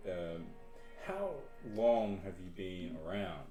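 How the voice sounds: A man's low voice in an Australian accent, slow pace and ordinary pitch variation, with clear music in the background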